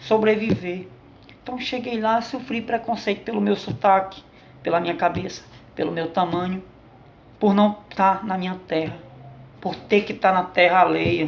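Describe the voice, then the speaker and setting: A man is talking. He speaks in a northeastern Brazilian accent. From Northeast Brazil. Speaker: vlogger. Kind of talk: political commentary monologue. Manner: impassioned.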